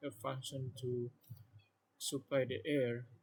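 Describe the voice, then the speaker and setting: Here a man speaks with an Indonesian accent. His voice sounds somewhat breathy. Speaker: student explaining a project. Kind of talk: tutorial. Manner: halting.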